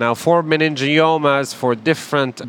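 With noticeable background noise behind him, a man speaks with fairly even intonation. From Palestine. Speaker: neurosurgeon. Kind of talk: medical explainer interview.

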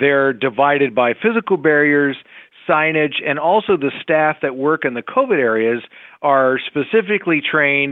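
A man with an unremarkable speaking voice talks at a moderate pace, his fairly high pitch showing ordinary variation. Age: 50s. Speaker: hospital chief executive. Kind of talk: interview. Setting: podcast recording.

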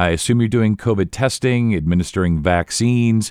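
An ordinary speaking voice, a man talks at a fairly quick pace with a fairly low pitch and ordinary pitch variation in a very clean recording with a silent background. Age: 50s. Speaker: podcast host. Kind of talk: interview.

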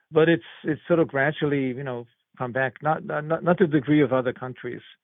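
A man with a German accent. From Germany. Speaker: medical research professor. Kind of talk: interview. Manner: halting, many fillers.

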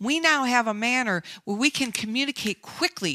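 On a very clean, dry, close recording with no echo and a silent background, a woman talks at a fairly quick pace in a bright, sharp tone, her fairly high pitch moving with lively intonation. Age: 60s. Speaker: life coach. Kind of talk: interview. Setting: radio show.

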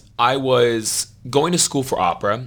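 There is noticeable background noise as a man talks in a medium pitch. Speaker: opera singer and fitness trainer. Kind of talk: interview.

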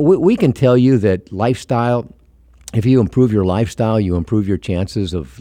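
Talking very fast, a man uses lively intonation, his fairly low voice carrying a dark, mellow tone. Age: 70s. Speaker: author and broadcaster on aging. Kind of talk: interview conversation. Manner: halting with repeated words.

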